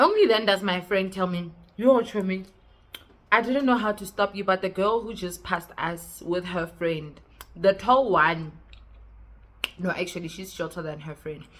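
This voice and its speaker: Shouting in an animated tone, a woman with a South African accent speaks at a moderate pace and a medium pitch, with ordinary pitch variation and long, frequent pauses. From South Africa, West Rand. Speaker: YouTuber. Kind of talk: storytime monologue. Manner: sounds like shouting.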